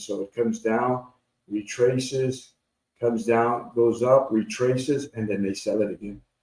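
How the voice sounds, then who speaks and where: Somewhat breathy, a man's voice has a dark, mellow tone at a medium pitch. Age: 60s. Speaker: trading educator. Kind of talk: live trading tutorial. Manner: casual, repetitive.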